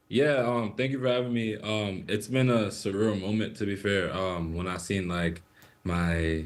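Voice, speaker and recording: There is audible room echo as a man talks in an American accent. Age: 20s. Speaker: soccer player. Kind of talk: interview. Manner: hesitant, many fillers.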